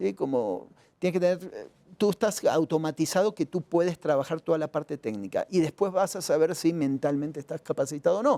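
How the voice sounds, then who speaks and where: Fairly high for a man and dark, mellow in tone, his voice moves at a fairly quick pace with lively intonation, the sound dry and close with no echo. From Argentina. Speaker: journalist and strategic consultant. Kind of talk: interview answer. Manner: direct.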